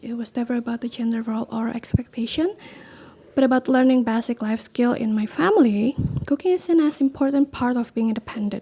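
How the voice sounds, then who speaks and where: With an Indonesian accent, a woman speaks at a moderate pace in a high pitch, keeping her intonation fairly even. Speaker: student. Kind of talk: class presentation video. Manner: halting.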